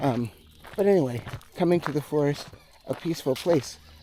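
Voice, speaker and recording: This man's voice sits fairly high and moves at a moderate pace. Noticeable background noise runs underneath. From United States. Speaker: music teacher and vlogger. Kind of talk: casual walking vlog monologue. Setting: outdoors in a forest. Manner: quiet.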